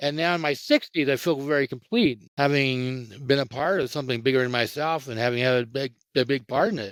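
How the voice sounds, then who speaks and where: With hardly any pauses, a man speaks at a fairly quick pace in an unremarkable speaking voice, fairly high in pitch with ordinary pitch variation. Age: 60s. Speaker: event founder and futurist. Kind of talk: interview.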